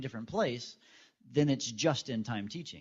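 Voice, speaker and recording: Talking at a fairly quick pace, a man shows ordinary pitch variation. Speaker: educator, former high school chemistry teacher. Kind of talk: conference presentation. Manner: fast.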